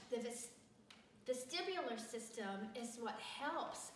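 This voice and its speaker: Noticeable background noise and audible room echo surround this recording of a woman. She has a fairly high pitch and speaks with an American accent. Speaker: teacher. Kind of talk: tutorial. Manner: casual, conversational.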